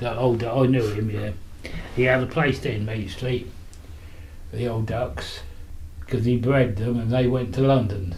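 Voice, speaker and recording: Heard with audible room echo, a man with a Buckinghamshire accent speaks with ordinary pitch variation and long, frequent pauses. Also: medium pitch for a man, moderate pace. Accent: old Aylesbury Buckinghamshire. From Buckinghamshire, Aylesbury. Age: 90s. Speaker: elderly local resident interviewed about history. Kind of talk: reminiscing interview. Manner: halting, with false starts.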